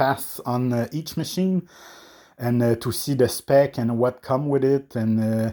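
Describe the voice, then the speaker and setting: The speech comes at a fairly slow pace in a French Canadian accent. The recording is very clean, with a silent background. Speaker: coffee equipment reviewer. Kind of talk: product review. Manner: hesitant, many fillers.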